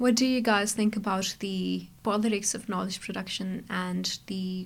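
A woman speaks at a moderate pace, and her voice sounds somewhat breathy. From Pakistan. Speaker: anthropology PhD student. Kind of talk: panel discussion.

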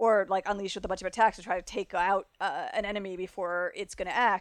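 A woman with an American accent speaks in an unremarkable speaking voice at medium pitch and a fairly quick pace, her intonation fairly even, on a very clean recording with a silent background. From South Florida. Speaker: freelance games writer. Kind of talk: casual chat about games.

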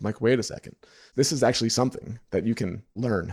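Talking at a very fast pace, a man with an American accent keeps a medium pitch, a dark, mellow tone and fairly even intonation. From New York. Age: 30s. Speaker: photographer and business coach. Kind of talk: interview.

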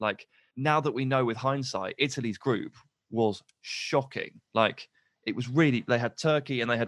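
A man with an English accent at a moderate pace, medium in pitch with fairly even intonation, in a dry, close sound with no echo. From England. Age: 30s. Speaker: football pundit. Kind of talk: casual chat.

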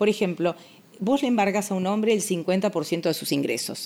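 With a plain, everyday voice, a woman speaks at a moderate pace and ordinary pitch variation. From Argentina, Buenos Aires (Villa Crespo). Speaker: family lawyer. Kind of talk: interview. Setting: home.

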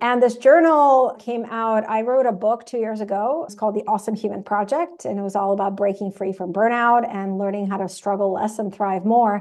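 Using a Russian accent, a woman speaks at a fairly quick pace with hardly any pauses. Her pitch is fairly high, with ordinary pitch variation. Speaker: author and self-compassion teacher. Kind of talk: interview.

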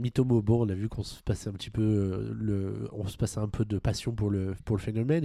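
A man speaks at a fairly low pitch with a dark, mellow tone. His intonation stays fairly even. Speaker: podcast host. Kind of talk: casual chat.

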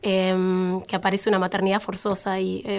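A woman talks with a Rioplatense accent. The recording is very clean, with a silent background. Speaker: sociologist. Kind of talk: casual chat.

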